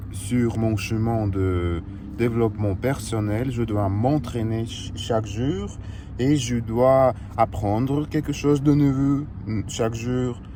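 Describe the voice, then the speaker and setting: A man's very slow speech at a medium pitch, with ordinary pitch variation and audible room echo. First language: Russian (speaking French). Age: 20s. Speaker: fitness coach and vlogger. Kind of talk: casual vlog monologue. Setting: in a car. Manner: halting, many hesitations.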